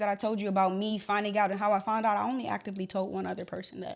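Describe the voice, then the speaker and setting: This woman has a medium pitch with vocal fry. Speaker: podcast host. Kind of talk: personal testimony. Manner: emotional, voice cracking.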